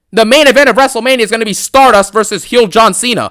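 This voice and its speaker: The voice is raised and projected, with a bright, sharp tone and a very fast pace. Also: man. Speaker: wrestling commentary youtuber. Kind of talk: angry rant. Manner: loud; animated.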